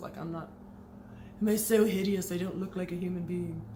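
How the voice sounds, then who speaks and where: A quiet woman's fairly low voice, lively in intonation, with audible room echo. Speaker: former Jehovah's Witness vlogger. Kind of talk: personal testimony. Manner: fast.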